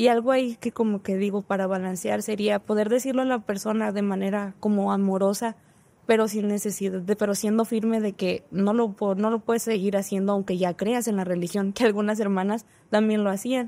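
A woman talks at a fairly quick pace. Her intonation stays monotone and flat. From northern Mexico. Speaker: engineering student; podcast guest. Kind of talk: casual chat. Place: studio. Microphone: studio mic.

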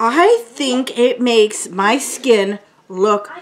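A woman's high-pitched voice with very wide pitch swings and light background noise. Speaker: beauty vlogger. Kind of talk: casual product review chat. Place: home room.

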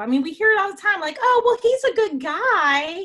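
Her pitch swings very widely. The speaker is a woman. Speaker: web show co-host. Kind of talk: casual discussion commentary. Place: home room. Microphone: video call.

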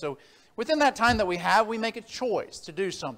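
The man's speech comes at a very fast pace. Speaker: preacher. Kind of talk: sermon. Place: church.

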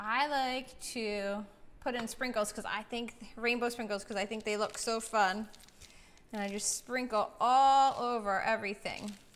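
A fairly high-pitched woman in an American accent, upbeat and enthusiastic at a moderate pace, over light background noise. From Philadelphia. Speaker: chef. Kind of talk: cooking tutorial for kids. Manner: upbeat, enthusiastic. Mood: cheerful, relaxed. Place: kitchen. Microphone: camera far.

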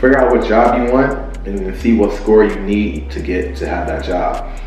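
A man speaks at a moderate pace through audible room echo, with faint music in the background. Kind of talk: casual vlog chat. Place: home room.

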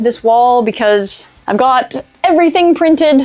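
Pitched high, a woman talks at a moderate pace. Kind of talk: casual vlog chat. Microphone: lapel.

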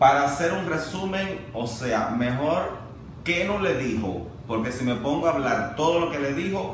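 Fairly slow speech with light background noise and audible room echo. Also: man. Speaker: vlogger. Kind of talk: casual vlog commentary. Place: home room. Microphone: camera far.

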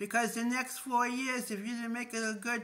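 Her voice sits fairly high and has a bright, sharp tone. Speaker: video blogger. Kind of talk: casual vlog monologue. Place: home room. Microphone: phone near.

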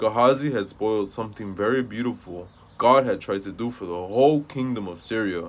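Here a natural voice is heard reading out loud.

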